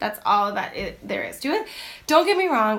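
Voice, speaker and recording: A woman is talking. Her pitch moves up and down in an ordinary way. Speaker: teacher and lifestyle vlogger. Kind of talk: casual chat. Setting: Instagram live stream. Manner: loud and outgoing; chatty, many fillers.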